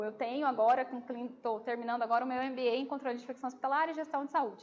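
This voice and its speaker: The woman's pitch sits high. She speaks very fast. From Brazil, Campo Grande (Mato Grosso do Sul). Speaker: nurse and infection control lecturer. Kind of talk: lecture with audience Q&A. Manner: casual, hesitant with fillers.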